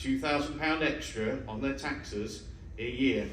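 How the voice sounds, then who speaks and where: Fairly slow speech with an East Midlands accent, with audible room echo. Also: man. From Mansfield, North Nottinghamshire, England. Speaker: parliamentary candidate. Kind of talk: hustings speech. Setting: university hall with live audience.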